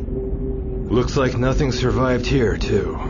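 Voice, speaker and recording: Over loud background noise, a man delivers a put-on character voice at a fairly slow pace. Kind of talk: bad game voice acting. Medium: voice reel.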